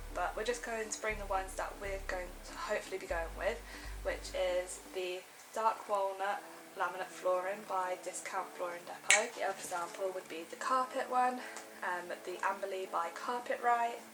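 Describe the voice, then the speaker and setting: In a British accent, a woman of medium pitch speaks at a moderate pace with fairly even intonation, amid noticeable background noise and audible room echo. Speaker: lifestyle vlogger. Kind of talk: casual vlog talk.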